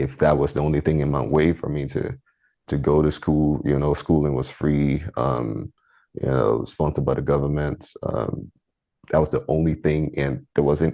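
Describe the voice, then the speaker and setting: A man's very deep, low voice with vocal fry, a dark, mellow tone, fairly even intonation and a moderate pace. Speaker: engineer. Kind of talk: interview. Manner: halting, many fillers and restarts.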